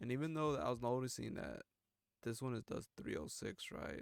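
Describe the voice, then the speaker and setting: Vocal fry at a fairly quick pace. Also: man. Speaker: gaming YouTuber. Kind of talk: gameplay commentary. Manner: casual slangy.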